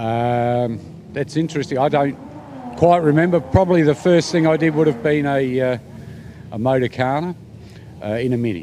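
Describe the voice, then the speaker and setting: Speaking with an Australian accent, a man keeps a moderate pace. He leaves long, frequent pauses, and noticeable background noise can be heard. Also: ordinary pitch variation. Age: 60s. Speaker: volunteer motorsport official. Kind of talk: casual interview.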